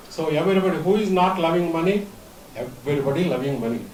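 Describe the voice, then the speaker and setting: Noticeable background noise and audible room echo accompany talk delivered fairly quickly. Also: man. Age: 70s. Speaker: conference speaker. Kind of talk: conference talk. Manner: halting.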